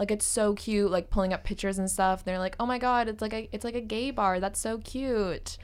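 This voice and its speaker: With a Canadian accent, the speaker moves at a fairly quick pace with hardly any pauses and fairly even intonation. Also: woman, fairly high pitch for a woman. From British Columbia mainland (Maple Ridge). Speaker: university student. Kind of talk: casual interview.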